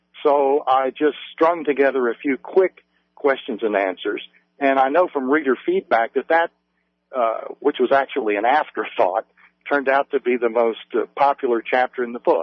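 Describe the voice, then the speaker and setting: At a moderate pace, a man with an American accent speaks at a fairly high pitch with ordinary pitch variation. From West Virginia, US. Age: 50s. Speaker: author. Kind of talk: radio interview.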